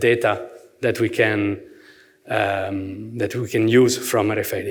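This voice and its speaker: Heard with audible room echo, a man speaks at a fairly slow pace and a medium pitch in an Italian accent. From Italy. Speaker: merchandise planning manager, workshop speaker. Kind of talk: conference presentation. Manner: hesitant, many fillers and repetitions; gestures with hands, lively.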